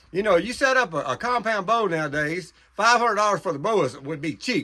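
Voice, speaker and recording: A man's raised, projected voice, high-pitched, with a bright, sharp tone and lively intonation. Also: very clean recording, silent background. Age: 70s. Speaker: hunter. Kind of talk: casual talk to camera about bowhunting. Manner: repetitive, with hesitations.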